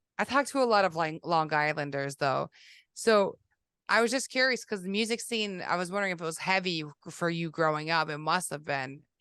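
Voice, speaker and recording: A woman's bright, sharp voice in a Boston accent, fairly low in pitch, with lively intonation at a moderate pace against a quiet background. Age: 40s. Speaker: podcast host, carver. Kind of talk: casual chat.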